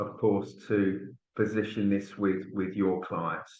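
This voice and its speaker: With a Birmingham accent, a man speaks at a fairly low pitch. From Birmingham area, England. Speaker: tax relief specialist. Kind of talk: business webinar presentation.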